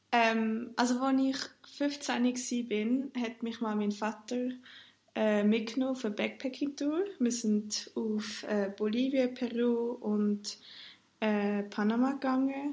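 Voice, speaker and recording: A woman with a Swiss accent speaks at a fairly high pitch with fairly even intonation. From Switzerland. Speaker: student and solo backpacker. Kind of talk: casual interview chat. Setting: internet call.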